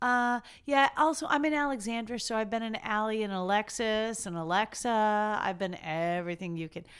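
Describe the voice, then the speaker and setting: A woman with a plain, everyday voice speaks at a fairly high pitch and moderate pace, with lively intonation and hardly any pauses. The recording is very clean, with a silent background. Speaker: podcast co-host. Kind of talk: casual chat.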